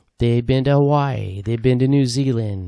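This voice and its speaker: A man's voice has a medium pitch and a dark, mellow tone. The recording is very clean with a silent background and a dry, close sound with no echo. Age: 60s. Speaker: hiking vlogger. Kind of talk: casual vlog monologue. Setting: outdoors on a hiking trail. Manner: casual, many fillers.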